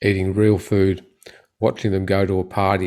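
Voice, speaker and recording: A man with an Australian accent, fairly low in pitch, at a moderate pace. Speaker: orthopedic surgeon. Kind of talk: interview.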